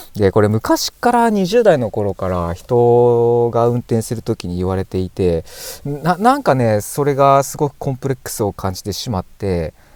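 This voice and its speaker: Dry and close with no echo, the recording holds a man's ordinary speaking voice. He keeps a moderate pace with lively intonation. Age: 40s. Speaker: car YouTuber. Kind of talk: casual talk to camera while driving.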